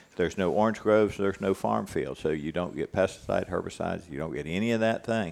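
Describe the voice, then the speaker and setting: With an American accent, a man talks at a very fast pace in a very deep, low pitch with ordinary pitch variation. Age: 60s. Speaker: cattle rancher and ranch manager. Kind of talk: casual interview conversation.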